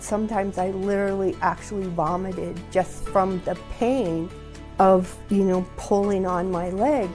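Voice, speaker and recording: Music plays in the background as a woman with a medium pitch speaks at a very slow pace with fairly even intonation. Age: 60s. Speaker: knee replacement patient. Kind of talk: testimony.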